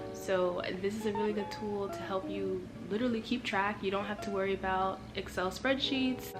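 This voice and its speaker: A woman speaks at a moderate pace with hardly any pauses while music plays in the background. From Miami. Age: 20s. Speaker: lifestyle vlogger. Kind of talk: casual talk to camera.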